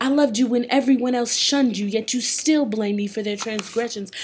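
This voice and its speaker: Fairly high-pitched woman's voice with ordinary pitch variation over noticeable background noise. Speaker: singer and spoken word poet. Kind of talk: spoken word poetry performance. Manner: emotional, mournful.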